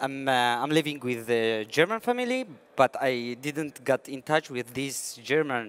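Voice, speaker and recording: A man's medium-pitched voice with a Syrian Kurdish accent, fairly slow, with ordinary pitch variation, in a dry, close sound with no echo. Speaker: IT engineering student, refugee. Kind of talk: panel discussion. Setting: conference stage. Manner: halting.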